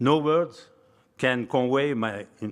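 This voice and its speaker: At a fairly slow pace, a man with a French accent speaks with ordinary pitch variation. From France. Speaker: hall of fame inductee, towing equipment manufacturer. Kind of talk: acceptance speech. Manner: halting.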